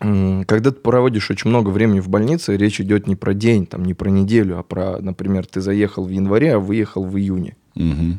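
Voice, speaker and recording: The pace is fairly quick. A dark, mellow tone colors the voice. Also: man. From Belarus, Grodno region. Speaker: actor and blogger. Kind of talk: casual interview chat. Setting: studio. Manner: animated.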